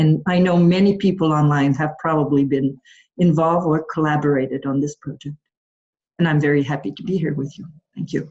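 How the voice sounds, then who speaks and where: The speech moves at a fairly quick pace, somewhat breathy, with fairly even intonation and big swings in loudness. It comes in a Quebec accent. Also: woman, very deep, low pitch for a woman. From Quebec, Montreal. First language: French. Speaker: patient partner advisor. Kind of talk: panel introduction.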